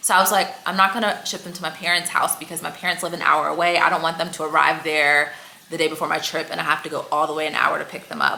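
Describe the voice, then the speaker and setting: Over noticeable background noise, a woman with a fairly low pitch talks very fast in an animated tone. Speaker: fashion vlogger. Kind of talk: casual storytime vlog.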